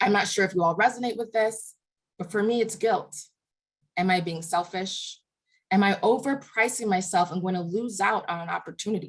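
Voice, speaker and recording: A woman with a medium pitch and a somewhat breathy voice talks at a fairly quick pace with ordinary pitch variation. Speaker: workshop leader. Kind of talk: online workshop presentation. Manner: fast.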